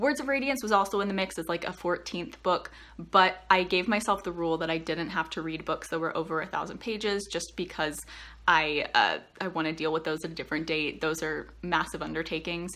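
A woman talks at a fairly quick pace with a fairly low pitch. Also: ordinary pitch variation. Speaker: book vlogger. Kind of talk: casual vlog chat. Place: home room. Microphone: phone near.

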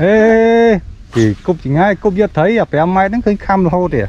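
Fairly quick and lively in intonation, a man speaks at a high pitch with a slightly mellow tone.

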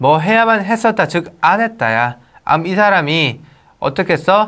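The man's voice has a bright, sharp tone. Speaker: English teacher. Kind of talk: lecture. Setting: recorded video lesson. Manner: animated.

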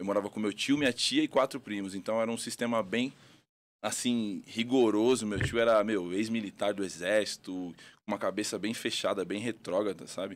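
Here is a man with an ordinary speaking voice and a fairly low pitch. He talks at a moderate pace with fairly even intonation. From Rio Grande do Sul, Brazil (Porto Alegre); Rio Grande do Sul, Brazil. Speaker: boxing coach. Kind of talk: casual interview. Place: studio. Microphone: studio mic.

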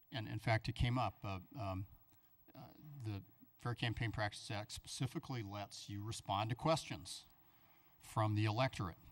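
Somewhat breathy and fairly low in pitch, a man talks at a moderate pace with long, frequent pauses. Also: ordinary pitch variation. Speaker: city attorney. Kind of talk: formal briefing. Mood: calm, explanatory. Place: meeting room. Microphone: podium.

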